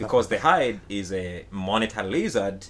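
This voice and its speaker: Speaking at a moderate pace with a Ugandan accent, a man uses a fairly low pitch and ordinary pitch variation. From Uganda, Buganda kingdom. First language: Luganda. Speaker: musician. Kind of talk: casual chat. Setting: home basement studio.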